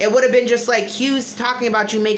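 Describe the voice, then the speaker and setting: In an American accent, a woman speaks in a room with audible echo and noticeable background noise. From Connecticut, US. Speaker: YouTuber. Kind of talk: livestream reaction chat. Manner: animated.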